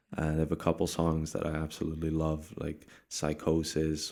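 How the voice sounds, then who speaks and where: On a very clean recording with a silent background, a man with a Dutch accent speaks in a very deep, low pitch and a dark, mellow tone. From Netherlands. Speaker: rapper. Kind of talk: interview.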